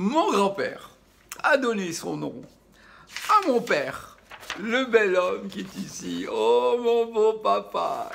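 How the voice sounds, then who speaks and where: Noticeable background noise sits under a very slow delivery marked by big swings in loudness and long, frequent pauses. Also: man. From Madagascar. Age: 60s. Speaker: chef and video host. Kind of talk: casual storytelling vlog. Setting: at home during lockdown. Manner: halting, many repetitions.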